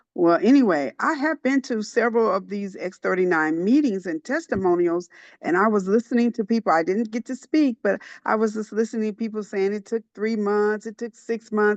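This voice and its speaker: A woman with an American accent and a plain, everyday voice, fairly high-pitched, lively in intonation and fairly quick, recorded dry and close with no echo against a quiet background. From Indiana, US Midwest. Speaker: church secretary. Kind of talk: testimony. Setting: online group call.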